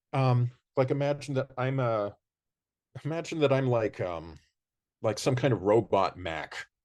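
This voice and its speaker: Over a quiet background, a man talks at a moderate pace with medium pitch and lively intonation. He takes long, frequent pauses. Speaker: music professor. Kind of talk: casual chat. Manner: loud; animated.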